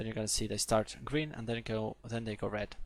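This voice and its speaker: This man speaks with a Polish accent at medium pitch. His pace is fairly quick. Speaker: programming tutor. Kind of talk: live webinar tutorial. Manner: halting, many fillers.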